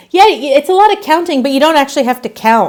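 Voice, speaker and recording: With an Australian accent, a woman talks. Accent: Australian, Americans remark on it. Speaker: knitting livestreamer. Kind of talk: casual chat while knitting on livestream. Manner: relaxed, conversational with fillers.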